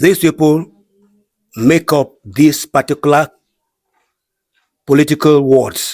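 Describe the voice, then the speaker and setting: Speaking at a very slow pace with long, frequent pauses, a man with a Nigerian accent uses a fairly high pitch and fairly even intonation, in a very clean, dry, close recording with no echo and a silent background. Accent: Nigerian Igbo English. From Nigeria, Cross River State (Igbo community). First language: Igbo. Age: 60s. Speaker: community leader. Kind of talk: interview.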